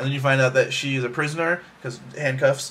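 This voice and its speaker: A man's medium-pitched voice at a fairly quick pace over noticeable background noise. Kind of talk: casual talk to camera. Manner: fast.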